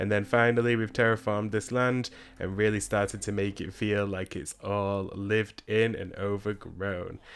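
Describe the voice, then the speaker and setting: Here a man with a fairly low pitch uses an ordinary speaking voice at a moderate pace. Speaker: gaming video creator. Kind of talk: let's play commentary. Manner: casual, chatty.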